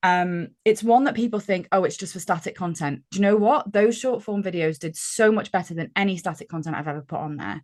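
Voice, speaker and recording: With a British accent, a woman of medium pitch talks at a fairly quick pace, with hardly any pauses and big swings in loudness. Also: quiet background. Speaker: gamification consultant, business founder. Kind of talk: podcast interview. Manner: chatty.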